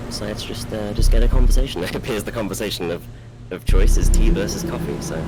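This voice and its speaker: A man speaks very fast in an English accent, his loudness swinging widely. Audible room echo and noticeable background noise fill the recording. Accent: English, sounds stereotypically English. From England. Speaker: esports caster. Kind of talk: live game commentary; casual chat with stream chat. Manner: halting, many fillers and repeats.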